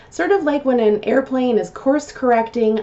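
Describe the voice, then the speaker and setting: Lively intonation marks a woman's high-pitched voice. There is noticeable background noise. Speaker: customer service trainer and vlogger. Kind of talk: vlog talk to camera.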